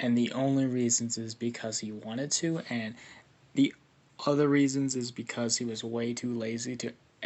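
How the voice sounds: A natural voice reads the text with intonation that stays fairly level.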